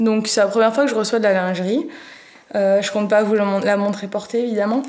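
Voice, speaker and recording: A woman speaks softly at a fairly high pitch. Background noise is noticeable. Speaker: family vlogger. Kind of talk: casual vlog talk to camera. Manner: soft-spoken.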